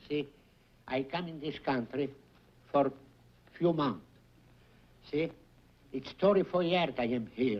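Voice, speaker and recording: A man with an Italian accent at a fairly high pitch, ordinary pitch variation, a fairly slow pace and long, frequent pauses. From Italy, Bologna. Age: 70s. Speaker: game show contestant. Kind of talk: game show banter.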